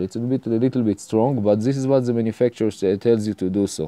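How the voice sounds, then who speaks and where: A man's fairly low, dark, mellow voice with fairly even intonation, dry and close with no echo. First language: Hebrew. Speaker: home mechanic tutorial maker. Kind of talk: tutorial. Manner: halting, many fillers.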